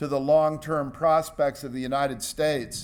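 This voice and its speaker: At a moderate pace, a man with an unremarkable speaking voice speaks in an American accent. His pitch is fairly high. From US West Coast, San Francisco. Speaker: environmental scientist. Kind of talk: lecture.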